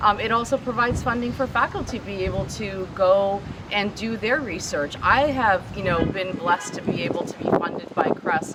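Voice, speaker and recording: A woman speaks at a medium pitch with ordinary pitch variation and hardly any pauses, over noticeable background noise. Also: moderate pace. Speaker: professor. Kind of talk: speech at a vigil. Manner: loud.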